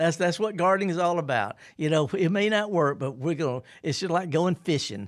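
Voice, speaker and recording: A man's high pitch with a Mississippi accent, lively intonation, a fairly quick pace, hardly any pauses and very even loudness. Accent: Mississippi accent, kept. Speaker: horticulturist radio host. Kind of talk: radio call-in show. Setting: radio studio. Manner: laid-back.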